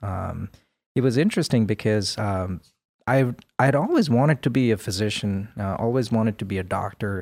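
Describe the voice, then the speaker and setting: Recorded very cleanly with a silent background, a man talks at a moderate pace, fairly low in pitch with ordinary pitch variation. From India. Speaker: healthcare technology executive. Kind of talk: interview.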